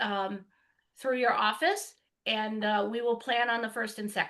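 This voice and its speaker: Loud and moderately paced, a woman speaks in a bright, sharp tone over a quiet background. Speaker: hiring process consultant. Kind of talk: remote meeting update.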